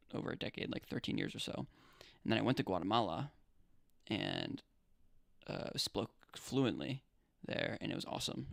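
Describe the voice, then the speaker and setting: A man's fairly low, vocal-fry voice in an American accent, fairly quick, with very wide pitch swings. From Pennsylvania, US. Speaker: livestreamer. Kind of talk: casual chat. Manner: casual, halting.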